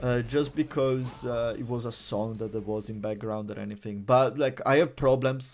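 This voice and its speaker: A man talks at a moderate pace and medium pitch, with fairly even intonation and hardly any pauses. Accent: Italian. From Italy. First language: Italian. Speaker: streamer. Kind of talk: casual chat. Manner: halting, many fillers.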